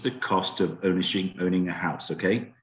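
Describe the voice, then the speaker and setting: In a British accent, a man speaks with a very deep, low pitch. His pace is moderate and the background is quiet. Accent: British, noticeable to US listeners. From UK. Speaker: home warranty sales representative. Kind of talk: sales presentation to real estate agents. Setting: video call.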